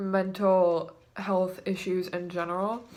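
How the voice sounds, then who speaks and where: A woman's voice sits at a medium pitch and sounds shaky. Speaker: vlogger. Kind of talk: personal testimony vlog. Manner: shaky voice; halting.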